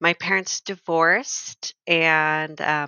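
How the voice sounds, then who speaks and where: With an American accent, a woman speaks in a very deep, low voice. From Northern California. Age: 20s. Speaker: detransitioned woman sharing her story. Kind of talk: podcast interview. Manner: hesitant, many fillers.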